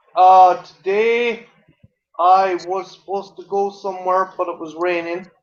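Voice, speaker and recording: A man's high voice at a fairly slow pace, flat and monotone, with big swings in loudness. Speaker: live stream guest. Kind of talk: casual chat. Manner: halting, repeats words.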